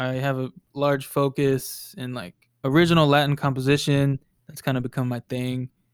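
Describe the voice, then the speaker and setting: A man with an American accent talks at a moderate pace in a fairly high pitch with fairly even intonation and big swings in loudness. It is a plain, everyday voice, and the sound is dry and close with no echo. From Texas, Dallas area. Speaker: DJ and producer. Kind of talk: casual interview.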